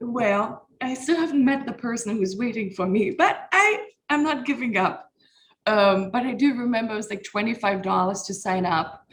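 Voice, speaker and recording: A somewhat breathy voice with a German accent, lively intonation and a moderate pace. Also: woman. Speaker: comedian. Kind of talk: casual chat.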